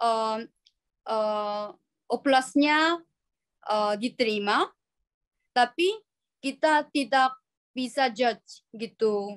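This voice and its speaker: With a Korean accent, a woman speaks at a very slow pace and a high pitch, with ordinary pitch variation. Long, frequent pauses break up her speech, and the sound is dry and close with no echo. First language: Korean (speaking Indonesian). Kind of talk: webinar Q&A answers. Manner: halting, many fillers.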